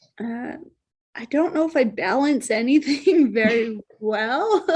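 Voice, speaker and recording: A soft-spoken woman's high voice at a fairly slow pace. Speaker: mountain bike trail society president. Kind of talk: interview answer.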